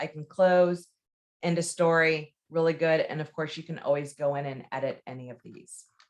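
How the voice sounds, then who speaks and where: A woman with an unremarkable speaking voice, fairly low in pitch, at a moderate pace, on a very clean recording with a silent background. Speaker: real estate trainer. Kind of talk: tutorial. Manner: casual.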